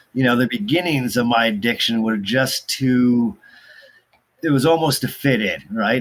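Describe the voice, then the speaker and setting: With a West Coast US accent, a man speaks at a medium pitch. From US Pacific Northwest, Portland, Oregon. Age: 40s. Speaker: addiction recovery counselor. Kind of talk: interview about personal recovery. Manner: halting, many fillers.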